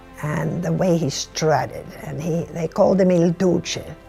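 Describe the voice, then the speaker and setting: An American accent with music in the background. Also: woman. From United States. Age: 80s+. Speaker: retired executive. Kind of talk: interview answer.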